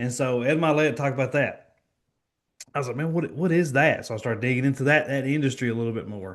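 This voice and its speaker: A man with a Kentucky accent at a very fast pace, medium pitch and ordinary pitch variation, against a quiet background. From Kentucky, small town. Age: 20s. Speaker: financial professional. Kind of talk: podcast interview.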